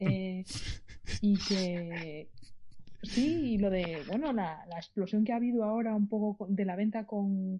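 A woman speaks at a medium pitch in a dark, mellow tone. Her voice is somewhat breathy, with lively intonation. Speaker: caller and singer. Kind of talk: casual chat. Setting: phone call.

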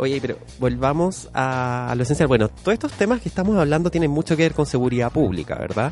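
Over music in the background, a man with a Chilean accent talks at a very fast pace with hardly any pauses. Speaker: podcast co-host. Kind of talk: casual chat. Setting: studio.

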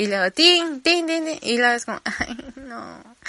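A woman is speaking. Her pitch swings very widely. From Campeche, Mexico. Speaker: podcaster. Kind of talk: casual monologue. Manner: animated.

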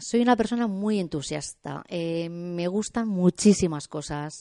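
The intonation here is lively. A woman speaks at a fairly slow pace. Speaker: art student. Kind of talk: radio interview. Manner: halting.

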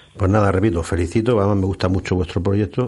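A man talks at a very fast pace with a very deep, low pitch and fairly even intonation. His tone is dark, mellow and somewhat breathy. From Murcia, Spain. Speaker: radio co-host and farmer. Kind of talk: radio show chat.

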